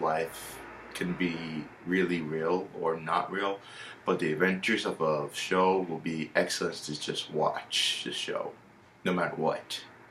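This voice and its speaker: Noticeable background noise sits behind a man with a very deep, low voice. He speaks at a fairly slow pace in a monotone, flat intonation. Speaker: YouTuber reviewing a TV series. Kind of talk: casual monologue review.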